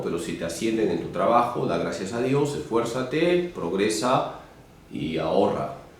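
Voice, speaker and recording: A man's voice swings very widely in pitch at a moderate pace, with audible room echo and noticeable background noise. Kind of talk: interview. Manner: loud.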